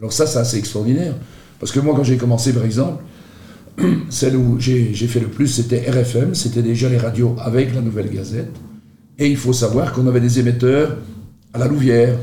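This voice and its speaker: Long, frequent pauses mark this man's somewhat breathy, dark, mellow voice, medium in pitch with fairly even intonation, with audible room echo. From Belgium, Charleroi (Marchienne). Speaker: radio host. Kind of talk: casual interview.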